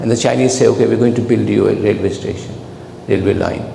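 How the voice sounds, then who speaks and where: A man with a non-native accent at a very fast pace, amid audible room echo and noticeable background noise. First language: not English. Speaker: professor. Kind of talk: lecture.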